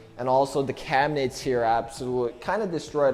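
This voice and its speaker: A man with an American accent and fairly even intonation, music in the background. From United States. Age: young. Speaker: vlogger. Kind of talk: casual talk to camera.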